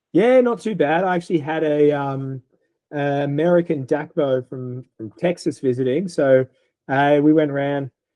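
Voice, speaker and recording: In an Australian accent, a man speaks at a fairly high pitch. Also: ordinary pitch variation, moderate pace. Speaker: veterinary eye specialist, podcast host. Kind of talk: casual podcast chat.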